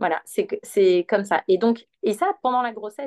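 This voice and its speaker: The sound is dry and close with no echo, and the speech moves at a fairly slow pace. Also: woman. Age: 30s. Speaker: perinatal yoga teacher. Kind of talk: guided exercise instruction; casual interview.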